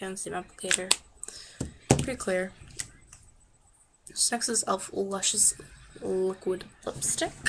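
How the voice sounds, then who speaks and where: A voice whispers very slowly, broken by long, frequent pauses. Background noise can be noticed throughout. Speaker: beauty vlogger. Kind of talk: product review tutorial. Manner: casual, chatty.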